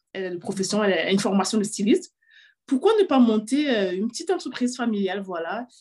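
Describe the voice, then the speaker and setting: A woman talks with ordinary pitch variation. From Cameroon. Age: 30s. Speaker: fashion entrepreneur. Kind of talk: interview. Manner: halting.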